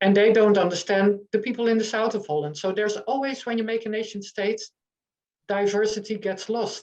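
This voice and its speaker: At a moderate pace, a woman speaks with a Dutch accent. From eastern Netherlands, near German border. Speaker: author and journalist. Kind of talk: online panel discussion. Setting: online meeting. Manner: halting, many fillers.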